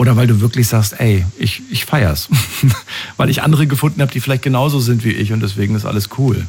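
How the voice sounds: A man's husky, rough-edged voice at medium pitch, fairly quick, with ordinary pitch variation and a slightly mellow tone.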